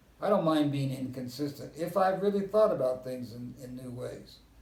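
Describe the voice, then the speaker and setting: A man speaks at a moderate pace with an American accent, his voice fairly high for a man. His pitch varies in an ordinary way, and the room gives an audible echo. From US West (Southern California and Kansas). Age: 80s+. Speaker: historian. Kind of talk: interview.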